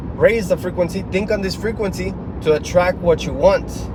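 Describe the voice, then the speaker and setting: Amid noticeable background noise, a man with a Spanish accent talks at a moderate pace in an animated tone. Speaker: motivational speaker, military veteran. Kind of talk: motivational monologue.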